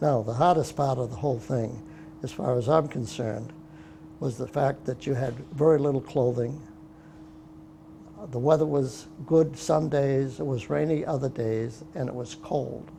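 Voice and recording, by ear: With vocal fry and a dark, mellow tone, a man speaks at a medium pitch in fairly even intonation. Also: fairly slow pace.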